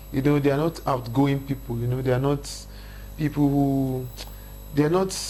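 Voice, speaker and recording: A man with a northern Nigerian accent speaks at a moderate pace in a fairly high, somewhat breathy voice, with monotone, flat intonation and long, frequent pauses. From northern Nigeria, Kaduna State. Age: 30s. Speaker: hip-hop artist. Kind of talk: interview chat.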